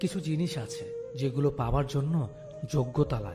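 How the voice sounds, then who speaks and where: Music plays behind a man whose voice sits at a fairly high pitch. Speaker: radio presenter. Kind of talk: motivational speech narration. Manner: emotional, heartfelt.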